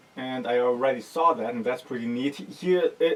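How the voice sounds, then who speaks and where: Against noticeable background noise, the talking proceeds at a moderate pace. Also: man. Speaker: music production youtuber. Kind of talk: gear unboxing tutorial. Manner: loud at start, quieter as video goes on.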